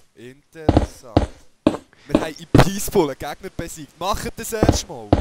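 Speaking at a moderate pace with a high pitch, a man uses lively intonation and big swings in loudness. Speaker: let's player. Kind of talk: casual gaming commentary.

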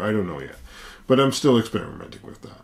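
A man speaks with lively intonation. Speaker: tech vlogger. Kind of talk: casual vlog chat. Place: home room. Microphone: camera far.

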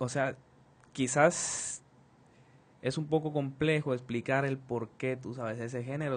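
A man talks in a medium-pitched voice. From Colombia. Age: 20s. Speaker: percussionist; interviewee. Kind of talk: interview. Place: studio. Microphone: studio mic.

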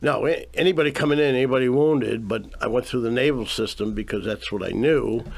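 The pace is very fast. A man speaks over a quiet background. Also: ordinary pitch variation. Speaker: Vietnam veteran and nonprofit founder. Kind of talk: radio interview. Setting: radio studio. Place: studio.

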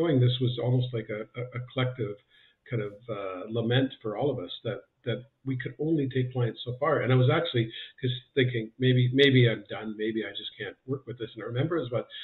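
A man at a fairly quick pace with fairly even intonation, over a quiet background. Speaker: trainer. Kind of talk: interview answer. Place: home room. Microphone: earbuds.

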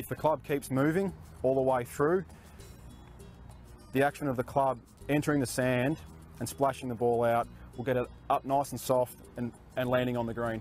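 Faint music plays in the background as someone speaks at a moderate pace with ordinary pitch variation and long, frequent pauses, in a dry sound with no echo. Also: man. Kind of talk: tutorial. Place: open country.

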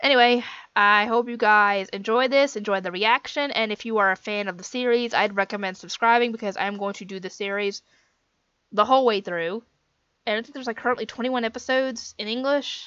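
Her fairly high-energy delivery comes at a fairly quick pace with fairly even intonation and a bright, sharp tone. The woman is recorded dry, with no echo, over a quiet background. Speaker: anime reaction vlogger. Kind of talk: casual vlog chat. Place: home room.

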